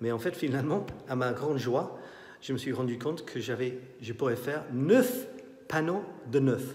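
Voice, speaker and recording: This man speaks with a Scottish accent at a fairly slow pace. His pitch varies in an ordinary way, and the room echo is audible. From Scotland. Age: 50s. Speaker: artist and photographer. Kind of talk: guided tour of his exhibition. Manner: halting. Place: hall. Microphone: phone near.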